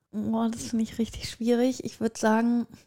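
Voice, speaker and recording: The recording of a woman talking is very clean, with a silent background. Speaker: podcast co-host. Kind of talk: casual chat.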